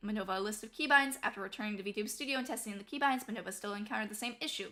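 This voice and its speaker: A woman's fairly high, bright, sharp voice at a very fast pace, with ordinary pitch variation. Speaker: vtuber. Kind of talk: reading a prepared statement. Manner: slurred.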